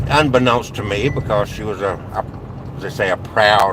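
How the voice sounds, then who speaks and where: The speech moves at a moderate pace beneath noticeable background noise. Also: man. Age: 60s. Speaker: vlogger. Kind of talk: personal monologue vlog. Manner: halting, with fillers.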